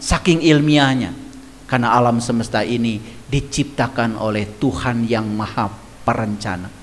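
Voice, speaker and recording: A man is talking over noticeable background noise. The room echo is audible. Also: medium pitch for a man, ordinary pitch variation, moderate pace. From West Java (Garut, Sunda). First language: Sundanese (speaking Indonesian). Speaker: religious teacher. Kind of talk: religious lecture.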